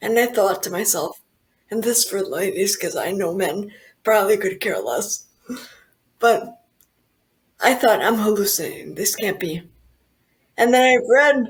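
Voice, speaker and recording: At a fairly slow pace, a woman speaks with a fairly high pitch. Her pitch varies in an ordinary way. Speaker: stroke survivor sharing diet recovery story. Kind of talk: interview testimony. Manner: animated.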